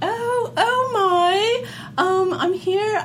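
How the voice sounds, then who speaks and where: A squeaky, female-sounding put-on character voice with an extremely high pitch speaks in a British accent as part of the act. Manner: dramatic, comic.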